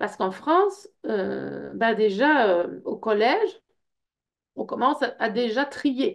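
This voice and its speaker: A woman is speaking. She has a Belgian accent. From Belgium. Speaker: personal development workshop leader. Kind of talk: information session presentation. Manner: hesitant, many fillers.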